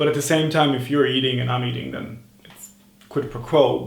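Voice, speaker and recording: A man talks with a non-native accent. Audible room echo surrounds his voice. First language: not English. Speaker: self-improvement vlogger. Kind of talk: casual monologue vlog. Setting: at home over morning tea.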